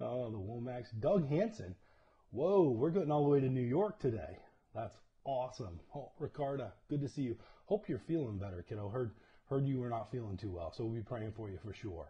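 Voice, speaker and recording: The man's voice is somewhat breathy and his pace fairly quick. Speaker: church leader hosting livestream. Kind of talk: casual livestream greeting. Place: home room. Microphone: lapel.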